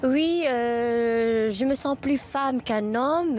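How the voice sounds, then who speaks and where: Her voice is high-pitched, and the pitch shifts in an ordinary way. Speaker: LGBT interviewee. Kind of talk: interview. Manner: halting.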